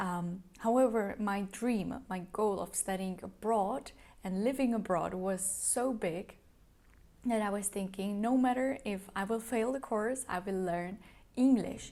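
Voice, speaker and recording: A dark, mellow tone in a Czech accent, at a fairly slow pace. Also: woman, medium pitch for a woman, ordinary pitch variation. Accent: Czech-accented English, non-native. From Czech Republic. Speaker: YouTuber, study abroad advice. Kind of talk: vlog advice talk. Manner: hesitant with fillers.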